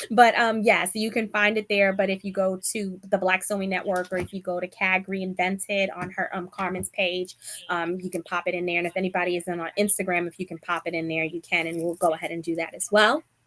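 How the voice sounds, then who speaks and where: In a Bronx accent, a woman speaks fairly quickly at medium pitch, flat and monotone, with hardly any pauses. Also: dry, close sound with no echo. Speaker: sewing content creator and live show host. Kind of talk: live stream chat. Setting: live stream video call.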